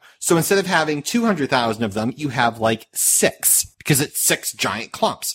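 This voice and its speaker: A man talks at a moderate pace with very wide pitch swings, and there is noticeable background noise. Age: 30s. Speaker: podcast host. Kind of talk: casual chat. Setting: online call. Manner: animated.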